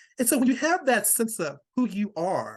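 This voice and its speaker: With an American accent, a man talks at a moderate pace using very wide pitch swings. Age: 60s. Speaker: author. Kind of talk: casual chat.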